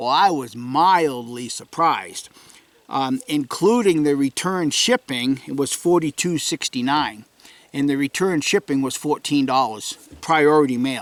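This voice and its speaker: Recorded with a dry, close sound and no echo, a man with a New England accent speaks at a fairly slow pace, his fairly high pitch showing ordinary pitch variation. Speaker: outdoorsman vlogger. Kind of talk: casual vlog update. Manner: hesitant, many fillers.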